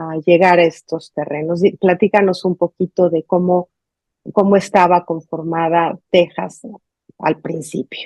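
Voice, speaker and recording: In a dry, close sound with no echo, a woman with a Mexican accent speaks very slowly at a fairly low pitch, her tone dark and mellow and her intonation monotone and flat. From Mexico. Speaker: journalist, interview host. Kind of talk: interview.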